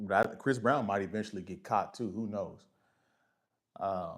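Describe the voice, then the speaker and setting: A man with an American accent speaks in a fairly low pitch with ordinary pitch variation. His loudness swings widely. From US Midwest. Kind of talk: live stream chat. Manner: casual, animated.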